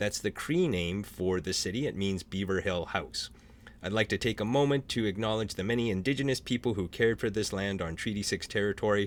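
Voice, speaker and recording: A man with a Canadian accent uses a normal speaking voice at a fairly low pitch, with ordinary pitch variation and a fairly quick pace. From small-town French Canadian Canada. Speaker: author and panel moderator. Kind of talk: virtual panel moderation. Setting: Zoom video call.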